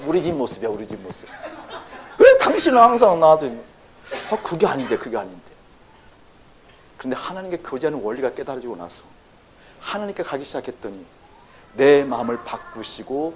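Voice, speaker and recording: Amid noticeable background noise, a man speaks at a fairly quick pace in an animated tone with very wide pitch swings. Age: 60s. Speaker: pastor. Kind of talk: sermon. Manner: animated, engaging audience with questions.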